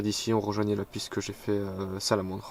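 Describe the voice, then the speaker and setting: His delivery is monotone, with flat intonation. The man talks fairly quickly. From France. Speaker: mountain biker. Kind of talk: trail commentary voice-over.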